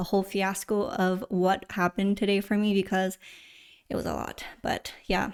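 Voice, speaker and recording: A woman speaks at a medium pitch. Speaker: streamer. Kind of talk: live stream chat. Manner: animated.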